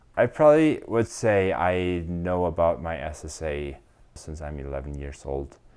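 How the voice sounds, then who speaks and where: A man with a German accent speaks very slowly in a very deep, low voice. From Germany. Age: 30s. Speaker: SAP business consultant. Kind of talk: interview answer.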